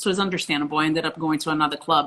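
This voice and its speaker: Speaking with a Portuguese accent, a woman uses a fairly low pitch and a bright, sharp tone in a monotone, flat delivery. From Brazil, Rio. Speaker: professional beach volleyball player. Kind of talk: interview.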